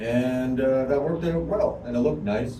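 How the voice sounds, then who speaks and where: There is noticeable background noise and audible room echo. A man talks with lively intonation. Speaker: hobby gardener vlogger. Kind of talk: casual home video explanation. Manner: speaking louder than usual; hesitant, many fillers.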